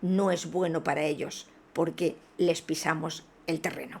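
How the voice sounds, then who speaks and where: This very clean recording of a woman has a completely silent background. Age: 60s. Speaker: spiritual video blogger. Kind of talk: video monologue. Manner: hesitant with fillers.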